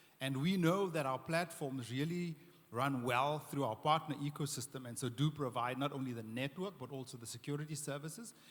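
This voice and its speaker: Somewhat breathy, a man talks at a fairly quick pace with a fairly high pitch and ordinary pitch variation. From South Africa. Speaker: tech company executive. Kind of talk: panel discussion.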